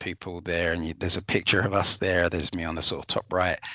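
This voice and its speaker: A man with an English accent, dry and close with no echo. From England. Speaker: corporate travel manager. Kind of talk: webinar testimony. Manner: hesitant, many fillers and repeats.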